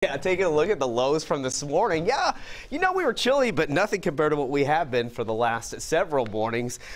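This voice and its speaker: A man's fairly high voice, upbeat in tone, with very wide pitch swings and a very fast pace. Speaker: TV weather forecaster. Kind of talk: live TV weather report. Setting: TV studio. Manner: conversational and upbeat, brisk, with frequent fillers. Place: studio. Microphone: lapel.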